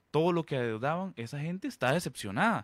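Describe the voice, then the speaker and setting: A man's unremarkable speaking voice, fairly quick with lively intonation, on a very clean recording with a silent background and a dry, close sound with no echo. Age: 30s. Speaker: political candidate. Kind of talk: radio interview.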